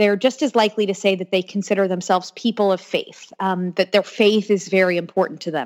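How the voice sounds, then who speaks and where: A plain, everyday voice with an American accent moves at a fairly quick pace with ordinary pitch variation. The recording is very clean, with a silent background and a dry, close sound with no echo. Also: woman, medium pitch for a woman. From Florida (Orlando). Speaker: pollster and political commentator. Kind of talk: interview.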